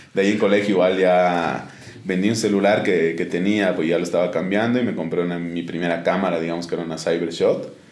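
Audible room echo surrounds a man's very deep, low voice. He speaks very fast with monotone, flat intonation. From Bolivia, Oruro. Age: 20s. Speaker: sports photographer. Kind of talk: interview. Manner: halting, many repetitions and fillers.

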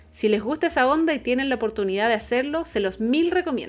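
A Chilean accent, a moderate pace and very wide pitch swings. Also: woman. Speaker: travel podcast co-host. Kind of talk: casual chat.

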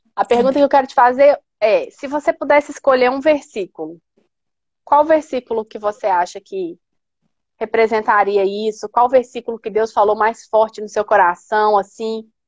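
This woman has a plain, everyday voice pitched fairly high, with ordinary pitch variation. She talks at a moderate pace in a dry, close sound with no echo. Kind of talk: casual chat. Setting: live stream video call.

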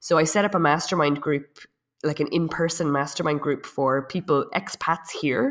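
Her loudness stays very even as a woman speaks with a very deep, low pitch and ordinary pitch variation. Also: moderate pace, very clean recording, silent background. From Ireland. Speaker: web and digital marketing consultant. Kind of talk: casual interview.

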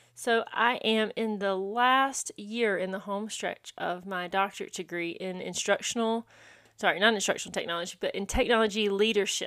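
A woman with a Southern US accent talks at a moderate pace in a medium pitch with ordinary pitch variation. Her tone is bright and sharp on a very clean recording with a silent background. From South Carolina (small town, upstate). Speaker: podcast host and elementary school teacher. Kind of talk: solo podcast monologue.

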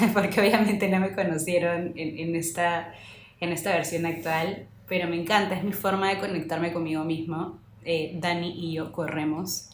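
A woman with a fairly low pitch talks in a monotone, flat intonation, with audible room echo and noticeable background noise. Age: 30s. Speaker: podcast co-host. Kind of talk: casual chat.

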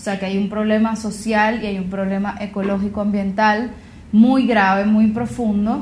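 With audible room echo and noticeable background noise, a woman speaks at a moderate pace in a monotone, flat intonation. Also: fairly high pitch for a woman. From Venezuela, Gran Sabana region. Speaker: singer-songwriter and environmental activist. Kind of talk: interview. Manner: hesitant, many fillers and repetitions.

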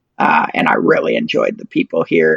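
The sound is dry and close, with no echo. A man with an American accent talks at a fairly quick pace. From Michigan (Ann Arbor). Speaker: political candidate, libertarian activist. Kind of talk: interview.

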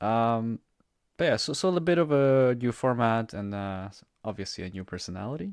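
An unremarkable speaking voice from a man at medium pitch, moderate pace and lively intonation. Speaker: podcast host. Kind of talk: casual chat.

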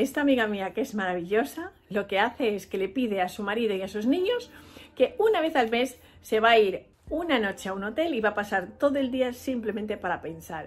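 Fairly quick and lively in intonation, a woman's voice runs at a fairly high pitch. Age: 40s. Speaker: podcast host. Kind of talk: solo motivational talk.

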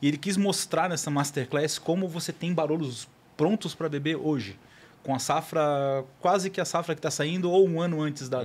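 A man's fairly high voice at a moderate pace, an ordinary speaking voice with ordinary pitch variation, on a very clean recording with a silent background. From Florianópolis, southern Brazil. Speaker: wine educator and podcaster. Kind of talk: casual chat. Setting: studio.

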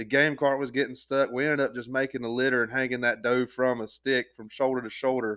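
This man has a Southern US accent. He talks at a fairly quick pace. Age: 20s. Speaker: podcast host. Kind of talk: casual chat.

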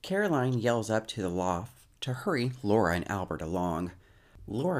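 What you hear is plain reading aloud.

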